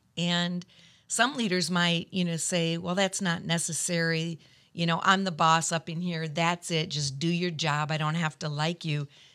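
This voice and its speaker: A woman's plain, everyday voice, fairly low in pitch with fairly even intonation and a moderate pace, in a very clean recording with a silent background. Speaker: lead pastor and podcast host. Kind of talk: casual chat.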